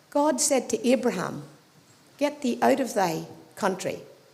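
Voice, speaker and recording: A woman's high-pitched voice with an Irish accent and lively intonation. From Ireland. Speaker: audience member. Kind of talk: audience question. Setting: live event with audience.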